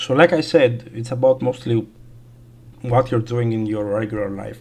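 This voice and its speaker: The speaker has a non-native accent and keeps a moderate pace. Intonation stays fairly even. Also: man. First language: not English. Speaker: gaming streamer. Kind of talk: casual livestream chat. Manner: halting, many fillers.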